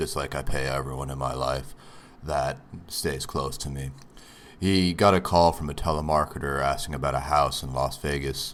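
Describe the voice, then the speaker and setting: A man with a very deep, low pitch talks at a moderate pace in a monotone, flat intonation. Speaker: podcast host. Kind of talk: podcast intro monologue.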